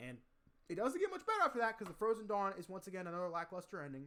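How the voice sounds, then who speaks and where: A man speaks in a bright, sharp tone with lively intonation. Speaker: zombies gaming youtuber. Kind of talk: casual gaming commentary, tier list ranking. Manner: fast.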